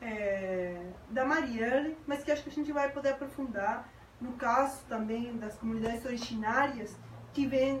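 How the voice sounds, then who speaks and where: The pace is moderate and the intonation fairly even. Noticeable background noise and audible room echo are present. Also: woman. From Uruguay. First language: Spanish (speaking Portuguese). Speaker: sociologist, graduate student. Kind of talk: panel debate.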